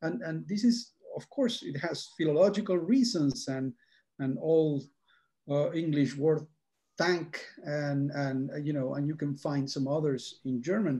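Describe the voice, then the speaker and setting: A man's fairly high-pitched, somewhat breathy voice with a dark, mellow tone at a fairly slow pace. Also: ordinary pitch variation. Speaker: academic speaker. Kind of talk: panel Q&A answer. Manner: halting.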